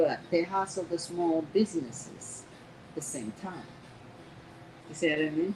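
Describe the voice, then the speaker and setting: Noticeable background noise sits behind a woman with a fairly low pitch. She speaks at a moderate pace with long, frequent pauses. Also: ordinary pitch variation. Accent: non-native. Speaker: restaurant owner. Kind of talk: casual interview. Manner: animated.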